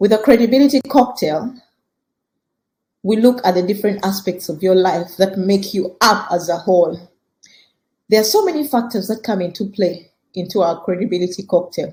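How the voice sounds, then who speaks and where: A woman speaks with ordinary pitch variation. Her tone is dark and mellow, and somewhat breathy. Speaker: podcast host and career coach. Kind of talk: teaching podcast talk. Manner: fast.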